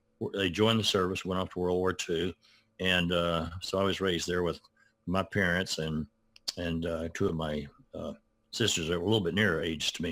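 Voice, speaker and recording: Monotone, flat intonation marks this voice with a Southern US accent, heard on a very clean recording with a silent background. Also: man, very deep, low pitch for a man, fairly quick pace. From US South, Arkansas. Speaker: retired art professor and children's author. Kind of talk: interview. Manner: halting.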